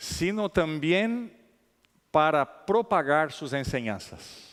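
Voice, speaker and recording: A man with a non-native accent speaks at a very slow pace. His pitch is fairly high and his intonation lively. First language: not Spanish (speaking Spanish). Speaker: conference speaker. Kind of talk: lecture. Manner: halting, many fillers.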